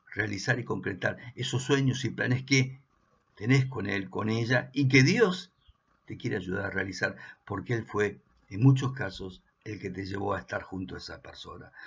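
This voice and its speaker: A man with an Argentine accent speaks at a moderate pace in a medium, somewhat breathy voice, with ordinary pitch variation and big swings in loudness. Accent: Argentine Spanish (voseo). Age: 60s. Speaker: pastor. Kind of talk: sermon.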